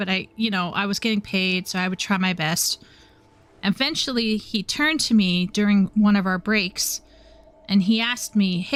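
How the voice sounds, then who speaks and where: A woman speaks with a southern Ontario accent at medium pitch. Her pace is moderate and her pitch varies in an ordinary way. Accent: Southern Ontario Canadian. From Southern Ontario, Canada. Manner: recounting a story.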